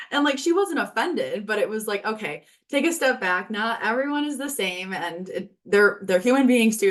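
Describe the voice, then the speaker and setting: A woman speaks at a moderate pace with hardly any pauses. Her pitch is fairly high and her intonation is lively. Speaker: healthcare administrator in training. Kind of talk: interview. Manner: loud; projecting voice.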